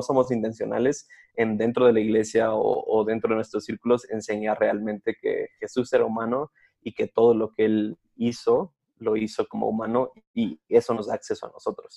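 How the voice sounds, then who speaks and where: Moderate pace with a dry, close sound and no echo. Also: man. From Mexico City area. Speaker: pastor's son, church worker, podcast co-host. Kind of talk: casual chat.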